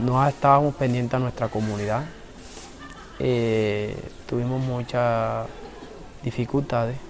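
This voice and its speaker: Over noticeable background noise, a man speaks at a medium pitch and a fairly slow pace. His delivery is monotone and flat, with long, frequent pauses. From Colombian Caribbean coast, Cartagena islands. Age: 20s. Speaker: community leader. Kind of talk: interview testimony.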